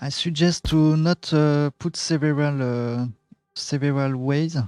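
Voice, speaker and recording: A fairly high-pitched man with a French accent and fairly even intonation, in a dry, close sound with no echo, with music in the background. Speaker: game tutorial streamer. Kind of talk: tutorial. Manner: halting, many fillers.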